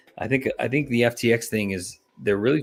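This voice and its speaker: With music in the background, a man in an American accent talks at a fairly quick pace with ordinary pitch variation. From Texas. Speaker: crypto YouTuber hosting a livestream. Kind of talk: casual livestream chat. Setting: livestream.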